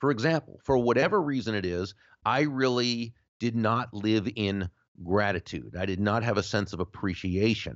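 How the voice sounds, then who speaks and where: A man with a fairly low pitch speaks at a moderate pace in an ordinary speaking voice. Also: ordinary pitch variation. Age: 50s. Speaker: author and sales speaker. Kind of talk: interview.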